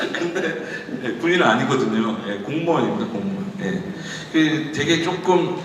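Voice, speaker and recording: Amid noticeable background noise and audible room echo, a man with a fairly high pitch swings very widely up and down in pitch. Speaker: government official giving a guest lecture. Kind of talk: lecture. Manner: casual, anecdotal.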